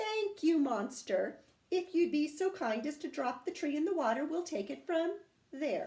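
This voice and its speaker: A woman's squeaky, put-on character voice at a moderate pace, high in pitch with very wide pitch swings. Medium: read story.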